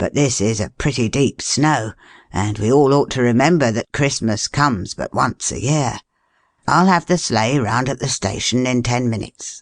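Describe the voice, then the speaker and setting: A raspy, put-on character voice from a man, medium in pitch, at a moderate pace over a quiet background. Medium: read story. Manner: folksy, rustic grammar.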